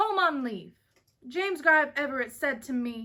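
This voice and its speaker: A woman's put-on character voice, high-pitched and resonant, with lively intonation at a moderate pace. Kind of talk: Southern melodramatic speechifying. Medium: read story. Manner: theatrical, pompous, every word weighted.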